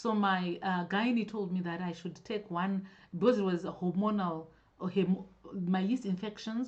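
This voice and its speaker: The woman's delivery is moderate in pace and fairly even in intonation. Her voice carries a somewhat breathy quality. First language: not English. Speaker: natural hair vlogger. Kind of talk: live-stream Q&A. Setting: live stream. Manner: halting, self-correcting.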